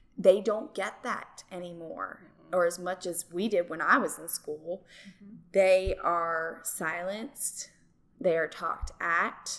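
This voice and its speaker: This is an unremarkable speaking voice at a fairly slow pace. It shows big swings in loudness and ordinary pitch variation. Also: woman, medium pitch for a woman. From New Jersey. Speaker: drama teacher and yoga instructor. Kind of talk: interview.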